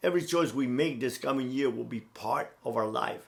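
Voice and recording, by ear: Ordinary pitch variation and a moderate pace mark this man's speech.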